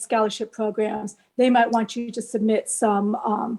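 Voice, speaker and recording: A woman's normal speaking voice, fairly high in pitch, at a moderate pace. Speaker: college admissions and scholarship consultant. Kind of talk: presentation.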